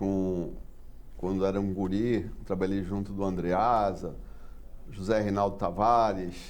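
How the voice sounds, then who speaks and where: Amid audible room echo, a man with fairly low pitch talks very slowly in a monotone, flat way, leaving long, frequent pauses. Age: 60s. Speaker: port engineer. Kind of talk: TV interview.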